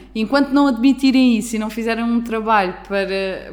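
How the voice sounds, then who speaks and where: Noticeable background noise behind a woman's fairly high-pitched voice. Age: 20s. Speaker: podcast host. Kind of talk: casual chat.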